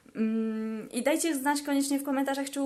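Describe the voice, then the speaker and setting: A woman speaks at a moderate speed, her pitch varying normally. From Poland. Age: 20s. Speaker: language vlogger. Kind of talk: casual vlog talk. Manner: hesitant fillers.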